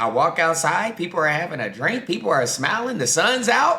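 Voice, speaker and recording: A man's bright, sharp tone carries some vocal fry. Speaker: vlogger. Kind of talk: casual reaction commentary. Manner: animated.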